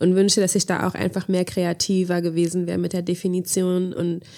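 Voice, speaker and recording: Moderately paced speech from a woman, the recording very clean and the background silent. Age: 20s. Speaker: podcast co-host. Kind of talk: casual chat. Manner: animated.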